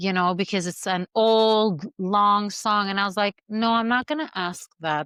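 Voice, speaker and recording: Against a quiet background, a woman with an Arabic accent speaks in a bright, sharp tone with a dry, close sound with no echo. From Syria. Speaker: movement artist and coach. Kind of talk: podcast interview.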